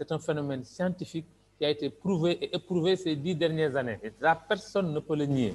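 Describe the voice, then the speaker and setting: A man has a normal speaking voice, pitched fairly high with ordinary pitch variation. He talks at a fairly quick pace. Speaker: doctor and business presenter. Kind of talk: sales pitch.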